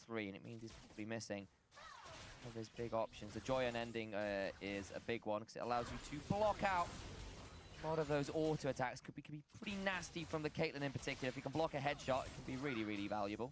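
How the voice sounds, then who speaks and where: With a British accent, a man talks at a very fast pace in an animated tone, his pitch medium and his intonation lively. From Britain. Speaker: esports commentator. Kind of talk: live commentary. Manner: animated play-by-play.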